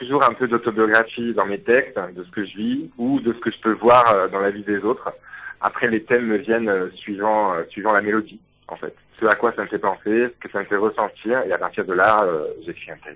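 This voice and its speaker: A man's bright, sharp voice with fairly even intonation. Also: moderate pace. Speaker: singer-songwriter. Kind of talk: radio interview. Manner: hesitant, many fillers.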